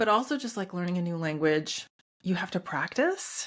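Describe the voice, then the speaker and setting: Her medium-pitched voice is somewhat breathy, with lively intonation, on a very clean recording with a silent background. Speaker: nutritionist and podcast host. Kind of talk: solo podcast talk. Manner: fast; casual.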